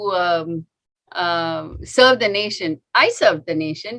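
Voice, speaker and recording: Here is a woman with an Indian accent. Her tone is bright and sharp. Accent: Indian English (Tamil). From India, Tamil Nadu (Chennai). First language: Tamil. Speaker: doctor. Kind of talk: talk to an audience. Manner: halting, many fillers.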